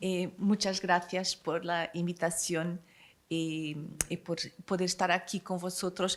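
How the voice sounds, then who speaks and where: A woman at a fairly low pitch, very slow pace and long, frequent pauses. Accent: Portuguese. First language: Portuguese (speaking Spanish). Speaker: consul general. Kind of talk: reading aloud speech.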